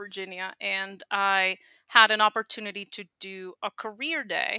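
With a Spanish accent, a woman speaks in a bright, sharp tone on a very clean recording with a silent background. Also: dry, close sound with no echo. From Puerto Rico. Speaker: speech language pathologist. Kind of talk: interview conversation.

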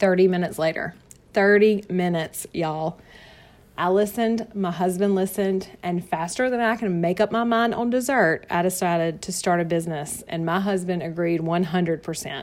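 Speaking at a moderate pace with a Southern US accent, a woman uses a warm tone, a medium pitch and ordinary pitch variation. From North Carolina, US South. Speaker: direct sales consultant and podcast host. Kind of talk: sales pitch / personal story monologue. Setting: home office. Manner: warm, chatty, laughs often.

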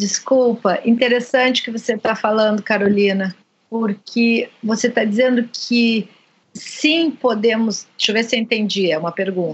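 Here a woman uses a normal speaking voice at a fairly high pitch. Her pitch variation is ordinary, and her pace is moderate. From Brazil. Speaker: podcast host, psychoanalyst. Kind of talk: interview.

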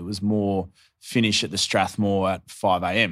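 With an Australian accent, a man speaks in a fairly low voice on a very clean recording with a silent background. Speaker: podcast host. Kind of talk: casual interview chat.

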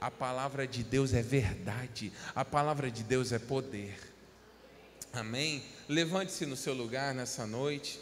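At a fairly slow pace and a medium pitch, a man talks with ordinary pitch variation and long, frequent pauses, in a room with audible echo. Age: 30s. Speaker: pastor. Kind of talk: sermon.

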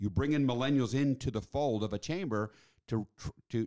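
On a very clean recording with a silent background, a man with an American accent speaks at a medium pitch in a plain, everyday voice. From Mexico City, with childhood in Washington DC. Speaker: chamber of commerce executive. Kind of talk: podcast interview.

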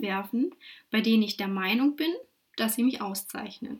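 Here a woman speaks with lively intonation. The recording is very clean and the background silent. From Saxony-Anhalt, Germany (Wittenberg). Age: 20s. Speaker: podcast host and career coach. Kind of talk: solo podcast monologue.

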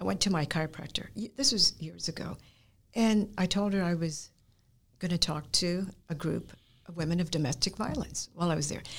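With vocal fry and a fairly low pitch, a woman speaks at a moderate pace with ordinary pitch variation and long, frequent pauses. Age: 70s. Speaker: guest, martial arts practitioner. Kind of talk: personal testimony in interview.

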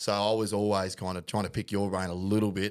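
On a very clean recording with a silent background, a man with an Australian accent talks in a fairly low voice at a moderate pace. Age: 30s. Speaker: podcast host, amateur rugby league player. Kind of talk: casual chat.

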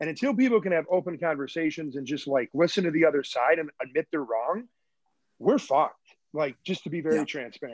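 Very fast and fairly high, a man with an American accent talks with lively intonation in a dry, close sound with no echo over a quiet background. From Michigan. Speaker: basketball coach. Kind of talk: casual interview. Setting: video call.

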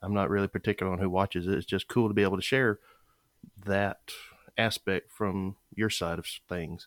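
Recorded dry and close with no echo, a man speaks at a fairly quick pace with fairly low pitch and fairly even intonation, broken by long, frequent pauses. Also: very clean recording, silent background. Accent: Southern US. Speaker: podcast host. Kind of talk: casual interview.

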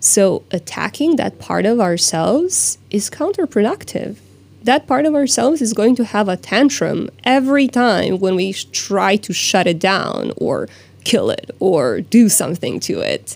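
Speech in a Croatian accent moves at a fairly slow pace with very wide pitch swings. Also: woman, fairly high pitch for a woman. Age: 30s. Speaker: life coach. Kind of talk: interview. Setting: studio.

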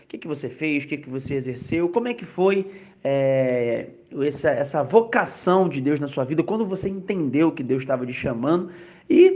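Here is a man with an unremarkable speaking voice and a fairly high pitch. He talks at a moderate pace with lively intonation. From Rio de Janeiro, Brazil. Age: 30s. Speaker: podcast host, church youth minister. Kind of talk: casual religious discussion.

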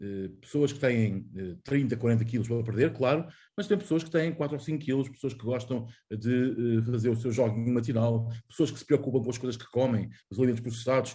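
A man's medium-pitched voice, somewhat breathy, with a dark, mellow tone, ordinary pitch variation, big swings in loudness and a moderate pace. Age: 40s. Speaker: journalist. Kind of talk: casual chat.

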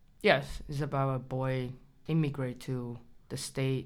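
A woman's very deep, low voice in a Chinese accent, at a fairly slow pace, with audible room echo. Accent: Chinese (Mandarin). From China. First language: Mandarin Chinese. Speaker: writer. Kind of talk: interview. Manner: halting.

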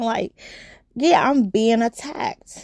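In a dry, close sound with no echo, a woman with an American accent speaks fairly slowly in an animated tone. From New York. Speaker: podcast host, nurse. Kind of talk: casual solo podcast chat.

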